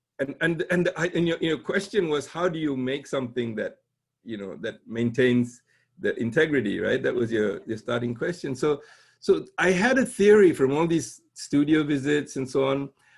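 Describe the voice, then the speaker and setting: Somewhat breathy, a man speaks at a moderate pace in a fairly high pitch with lively intonation, on a very clean recording with a silent background. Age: 60s. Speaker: conceptual artist and professor. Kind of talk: casual interview conversation.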